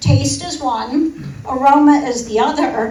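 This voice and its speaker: A woman speaks at a high pitch with ordinary pitch variation. Noticeable background noise and audible room echo come through. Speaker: chemistry professor. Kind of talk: lecture. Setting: presentation to a live audience. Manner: animated.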